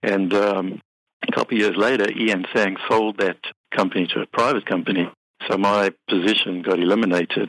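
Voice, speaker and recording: This man talks at a fairly quick pace with a South African accent, his pitch fairly low. His intonation is monotone and flat, and the sound is dry and close with no echo in a very clean recording over a silent background. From South Africa, Cape Town. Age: 50s. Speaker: business software company head and accountant. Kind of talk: interview.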